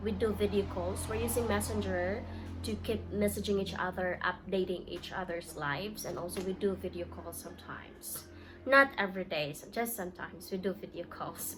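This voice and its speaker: A woman at a moderate pace, with music in the background. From Philippines. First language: Filipino language (Cebuano or Tagalog). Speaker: vlogger. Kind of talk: casual vlog talk to camera. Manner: hesitant, with fillers.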